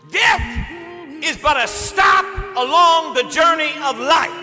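Extremely high pitch from a man at a fairly slow pace, with noticeable background noise. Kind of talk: eulogy sermon. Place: church.

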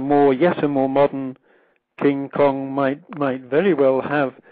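Very slow speech in an RP accent. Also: man. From England. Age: 60s. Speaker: literature professor and author. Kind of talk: interview. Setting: phone call.

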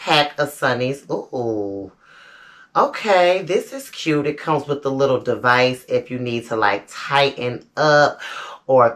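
Over a quiet background, a woman speaks at a very slow pace, her pitch very deep and low with ordinary variation. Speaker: lifestyle vlogger. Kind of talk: casual vlog chat. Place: home room. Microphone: camera far.

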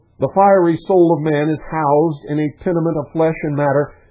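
The pace is moderate and the pitch varies in an ordinary way. The background is quiet. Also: man. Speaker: radio show host. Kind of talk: radio lecture. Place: studio.

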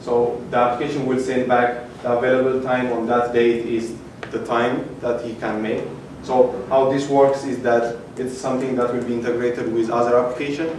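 A man speaks at a moderate pace in a monotone, flat way. Audible room echo and light background noise are present. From Ethiopia. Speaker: hackathon participant presenting his project. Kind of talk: project demo pitch. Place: hall. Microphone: camera far.

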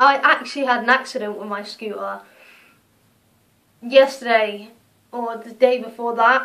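A woman talks at a moderate pace in a bright, sharp tone, her intonation monotone and flat. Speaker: vlogger. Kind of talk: casual vlog chat. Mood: annoyed, ranting. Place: home room. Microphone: phone near.

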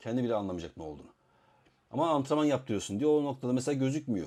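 A man speaks at a very fast pace with lively intonation. His medium-pitched voice has a dark, mellow tone. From Istanbul, Turkey. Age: 40s. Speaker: arm wrestling coach and YouTuber. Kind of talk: casual Q&A monologue.

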